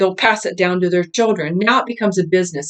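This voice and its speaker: A woman speaks in an animated tone. Her pitch varies an ordinary amount. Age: 60s. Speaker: cult survivor. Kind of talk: testimony.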